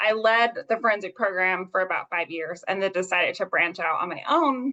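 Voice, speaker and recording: A woman with a bright, sharp tone speaks at a fairly quick pace and a medium pitch, with ordinary pitch variation. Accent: American. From US Southwest (southern New Mexico). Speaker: forensic pediatric nurse. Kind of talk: interview. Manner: fast.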